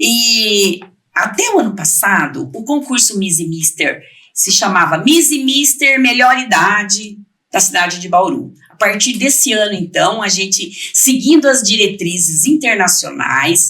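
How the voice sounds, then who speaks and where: The voice moves through very wide pitch swings and big swings in loudness. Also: woman, fairly high pitch for a woman, fairly slow pace. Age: 60s. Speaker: president of municipal council for the elderly. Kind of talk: podcast interview.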